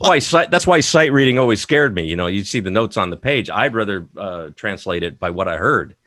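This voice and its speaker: A man with a fairly low pitch talks at a fairly quick pace with hardly any pauses and very wide pitch swings. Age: 40s. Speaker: musician. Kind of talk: casual chat. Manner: halting.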